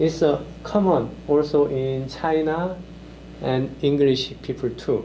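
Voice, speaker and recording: Amid audible room echo, a man speaks very slowly with a dark, mellow tone and ordinary pitch variation. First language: Korean. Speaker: lecturer. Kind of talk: lecture. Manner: halting, many fillers.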